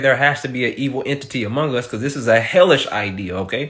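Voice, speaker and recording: Very fast, animated speech with lively intonation in a Southern US accent. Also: man. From US South. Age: 20s. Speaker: comedian reacting to viral videos. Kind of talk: comedic reaction commentary.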